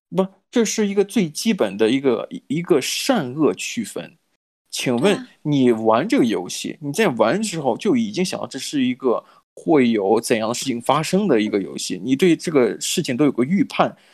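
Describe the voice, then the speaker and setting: A man with a fairly high pitch talks at a moderate pace, his voice making very wide pitch swings, on a very clean recording with a silent background. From mainland China. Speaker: podcast co-host. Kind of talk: casual chat. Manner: hesitant, many filler sounds.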